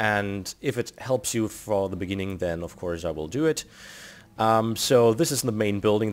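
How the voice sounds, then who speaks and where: A man with a German accent speaks at a fairly low pitch. Music plays behind him. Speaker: video game tutorial creator. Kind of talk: tutorial. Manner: casual, with frequent fillers.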